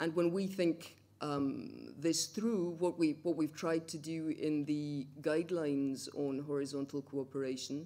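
Delivered at a fairly slow pace, the speech has ordinary pitch variation. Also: woman. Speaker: speaker. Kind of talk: conference talk. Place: hall. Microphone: podium.

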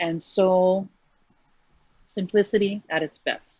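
With a Hawaiian accent, a woman speaks in a dry sound with no echo against a quiet background. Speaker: clothing business owner; guest. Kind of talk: interview. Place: home room. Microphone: video call.

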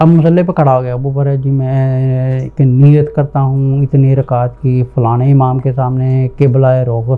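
The pace is very slow. The intonation is monotone and flat. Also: man. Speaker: religious teacher. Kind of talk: religious lecture. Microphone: lapel.

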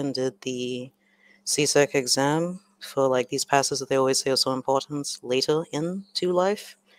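A woman with an American accent talks fairly slowly in a very deep, low voice, the sound dry and close with no echo. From Trinidad. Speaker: exam prep teacher and YouTuber. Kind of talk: live online lesson.

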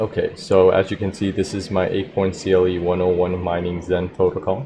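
A man's very deep, low voice, somewhat breathy and monotone, at a moderate pace over noticeable background noise. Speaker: tech channel host. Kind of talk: tech update commentary. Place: home room. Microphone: studio mic.

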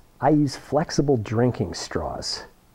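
A man's voice with a dark, mellow tone. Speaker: science teacher demonstrator. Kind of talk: tutorial. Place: classroom. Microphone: phone near.

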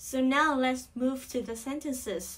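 The woman's voice sits at a high pitch. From Vietnam. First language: Vietnamese. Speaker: English pronunciation teacher. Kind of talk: tutorial. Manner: slow, repetitive drilling.

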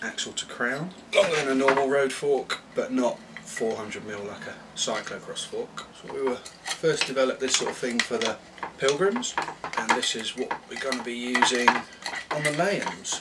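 A man keeps a moderate pace while loud background noise plays behind him. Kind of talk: casual vlog chat. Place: workshop. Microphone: phone near.

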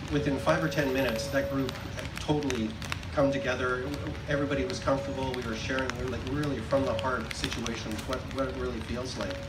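Over loud background noise, a man talks at a fairly quick pace with ordinary pitch variation. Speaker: speaker. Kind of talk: public speech. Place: stage.

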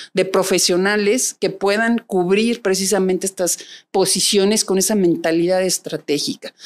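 Here a woman speaks in a central Mexican accent. Her intonation stays fairly even. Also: moderate pace, very even loudness. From Mexico City. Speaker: private security executive; interview guest. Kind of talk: interview. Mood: calm, reflective. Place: studio. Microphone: studio mic.

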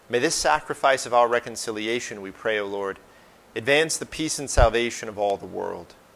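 A man talks with ordinary pitch movement, keeping a moderate pace. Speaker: parish priest. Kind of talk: fervent intercessory prayer, solemn and heartfelt. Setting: parish church, livestreamed Mass. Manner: earnest, fervent, pleading tone. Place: church.

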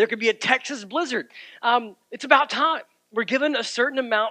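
In a quiet setting, a man uses a raised, projected voice with a bright, sharp tone. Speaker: pastor. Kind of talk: sermon. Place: church.

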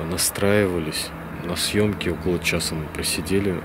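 A man with a very deep, low pitch speaks fairly slowly in a monotone, flat delivery, the sound dry with no echo despite noticeable background noise. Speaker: paranormal channel host. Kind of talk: casual vlog chat. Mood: hushed, slightly tense. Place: open country. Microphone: phone near.

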